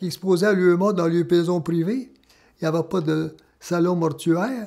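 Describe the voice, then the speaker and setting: A man's high-pitched, dark, mellow voice in a Quebec accent, with fairly even intonation at a fairly slow pace. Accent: rural Quebec French. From Quebec, Laurentians (Saint-Rémi-d'Amherst). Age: 90s. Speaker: former miner. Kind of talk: testimony. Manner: halting.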